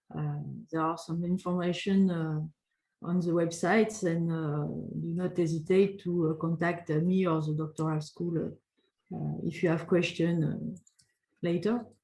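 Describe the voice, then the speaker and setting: In a French accent, a woman talks at a moderate pace with monotone, flat intonation, her dark, mellow tone somewhat breathy. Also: fairly low pitch for a woman. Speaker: doctoral school representative. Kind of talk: webinar Q&A. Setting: online webinar. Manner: halting, many hesitations.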